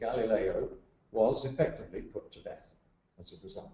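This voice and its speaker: The speaker is a man. He talks at a moderate pace. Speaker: presenter showing pictures.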